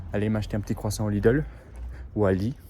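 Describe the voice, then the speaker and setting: Words come at a fairly quick clip. The pitch varies in an ordinary way. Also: man. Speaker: au pair vlogger. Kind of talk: casual vlog monologue. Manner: under-articulated, mouth too closed; halting, many hesitations.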